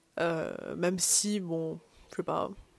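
Here a woman talks. The audio is close and dry, free of echo. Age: young. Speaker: podcaster, university student. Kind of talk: casual solo monologue. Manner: hesitant, many fillers.

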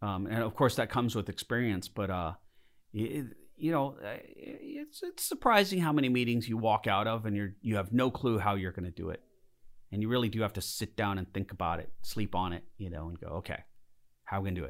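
In a very clean recording with a silent background, a man with an American accent speaks at a fairly quick pace in a plain, everyday voice, fairly low in pitch, with ordinary pitch variation. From Southern California (Lancaster). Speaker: model maker and visual effects artist. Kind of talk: casual interview. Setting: conference room.

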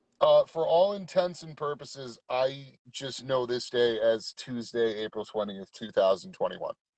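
A man speaks in a plain, everyday voice at medium pitch and a fairly slow pace, with hardly any pauses. His intonation is lively and his loudness swings widely. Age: 30s. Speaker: co-host of live stream. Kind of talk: casual chat. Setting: in a truck on phone.

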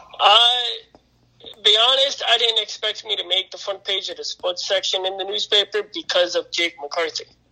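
In a dry, close sound with no echo, a man with an American accent uses a raised, projected voice, a high pitch, ordinary pitch variation and a moderate pace. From northeastern Pennsylvania. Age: 20s. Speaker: volunteer firefighter. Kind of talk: casual chat.

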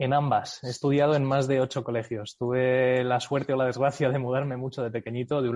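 A man at a very fast pace. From United States (Miami area), from age nine. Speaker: company CEO. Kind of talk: interview. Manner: hesitant with fillers.

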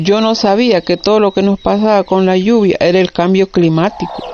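Against noticeable background noise, a woman talks with hardly any pauses, fairly even intonation and very even loudness. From Nicaragua, Estelí. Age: 50s. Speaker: coffee farmer. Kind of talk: testimony.

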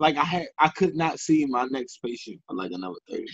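A man with an American accent and vocal fry talks at a fairly quick pace, the sound dry and close with no echo. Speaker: podcast host. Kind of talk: casual chat, podcast.

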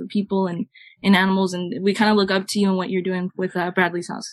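Very fast, a woman speaks with a Southern California accent. Her medium-pitched intonation stays monotone and flat. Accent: Southern Californian English. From Southern California, Los Angeles area. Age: 20s. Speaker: musician in a band. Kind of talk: casual interview chat.

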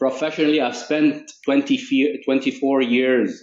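A man with an Arabic accent. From Egypt. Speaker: tech executive. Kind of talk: interview.

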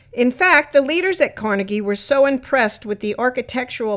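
On a very clean recording with a silent background, a woman speaks in a normal speaking voice at a fairly quick pace with lively intonation. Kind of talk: audio tour narration. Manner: clear, friendly, and upbeat, like a proud local guide; measured, even pacing with formal, informative delivery.

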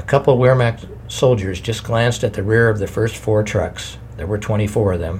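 Over noticeable background noise, a man speaks with a fairly low pitch and ordinary pitch variation. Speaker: audiobook-style narrator reading a memoir. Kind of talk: reading aloud a survivor's memoir, solemn historical narration. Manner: grave, measured, somber; formal, steady pace.

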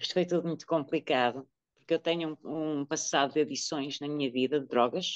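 Over a quiet background, a woman talks at a fairly quick pace in a very deep, low pitch with fairly even intonation. The sound is dry and close, with no echo. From Portugal, Porto. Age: 50s. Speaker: woman living with HIV. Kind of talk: testimony.

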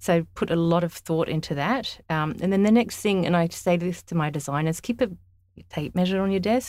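At a moderate pace, a woman speaks in a fairly low pitch with ordinary pitch variation on a very clean recording with a silent background. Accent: Australian. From Australia, Sydney and country New South Wales. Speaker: interior designer. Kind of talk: casual interview.

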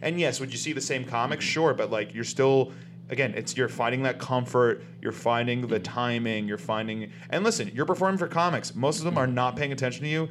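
Music plays in the background. A man with an American accent speaks at a medium pitch. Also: ordinary pitch variation. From US South, South Florida. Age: 30s. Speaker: comedian and actor. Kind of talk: casual chat.

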